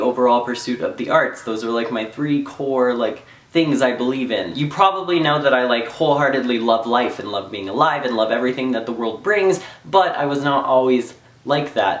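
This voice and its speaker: A man at a medium pitch with lively intonation and a moderate pace, amid audible room echo and noticeable background noise. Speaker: vlogger. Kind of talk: personal testimony read from notes. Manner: reading from phone notes.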